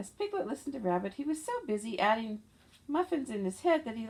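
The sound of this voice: The reading voice here is unforced.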